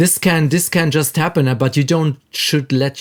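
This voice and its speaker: A man speaking with a German accent. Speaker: music producer and audio engineer. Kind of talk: casual podcast chat. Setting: recording studio.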